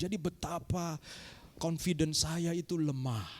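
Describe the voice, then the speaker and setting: Lively intonation and an animated tone mark this man's speech. His voice is somewhat breathy. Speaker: pastor. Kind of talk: sermon. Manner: animated, addresses congregation.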